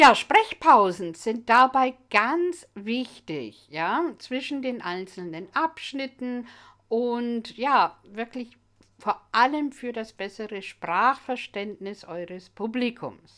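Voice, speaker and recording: A woman's fairly high, bright, sharp voice with lively intonation and big swings in loudness, at a very slow pace, in a very clean recording with a silent background. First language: English (speaking German). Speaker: English language teacher. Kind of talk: educational monologue.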